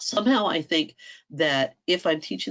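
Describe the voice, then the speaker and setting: In an American accent, this voice moves at a moderate pace with very wide pitch swings and vocal fry. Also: woman. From US, Washington DC area. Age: 60s. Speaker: homeschool workshop speaker. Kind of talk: online workshop talk. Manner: animated.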